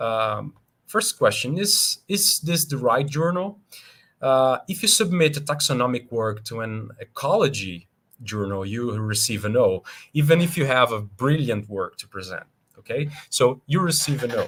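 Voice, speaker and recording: Someone with a Brazilian Portuguese accent talks at a moderate pace with very wide pitch swings. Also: man, fairly high pitch for a man. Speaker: scientist. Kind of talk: lecture. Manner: halting.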